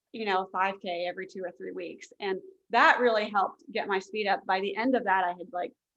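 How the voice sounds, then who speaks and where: A woman uses an ordinary speaking voice with an American accent and medium pitch. She talks at a fairly quick pace with ordinary pitch variation. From Fairfax County, Virginia. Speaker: author, marathon runner. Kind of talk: casual interview chat.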